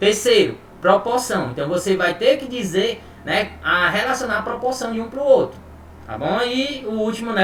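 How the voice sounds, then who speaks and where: A man speaks at a moderate pace with ordinary pitch variation. There is noticeable background noise and audible room echo. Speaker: chemistry teacher. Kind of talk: online lecture. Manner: casual, informal.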